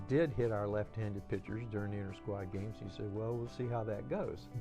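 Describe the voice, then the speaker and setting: Over music in the background, the speaker's pitch varies in an ordinary way. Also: man. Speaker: former college baseball player. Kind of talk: interview answer.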